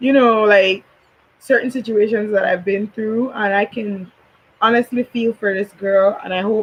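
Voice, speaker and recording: In a Belizean accent, a woman speaks at a fairly high pitch with fairly even intonation. Her sound is dry and close, with no echo. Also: moderate pace. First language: Belizean Creole. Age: 20s. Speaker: YouTuber, commentary vlogger. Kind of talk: casual commentary chat.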